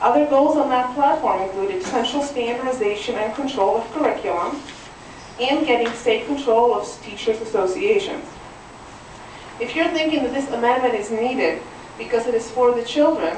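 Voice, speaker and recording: A woman with a Czech accent speaks in a high pitch with lively intonation at a moderate pace. Audible room echo and noticeable background noise are present. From Czechoslovakia (Ostrava, northeast Czech lands). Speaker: citizen testifying at legislative hearing. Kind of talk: public testimony. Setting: legislative committee hearing. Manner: formal.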